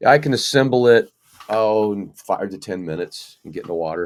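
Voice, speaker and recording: A man with an unremarkable speaking voice, fairly low in pitch with ordinary pitch variation, on a very clean recording with a silent background. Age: 60s. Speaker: kayak angler. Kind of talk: casual chat.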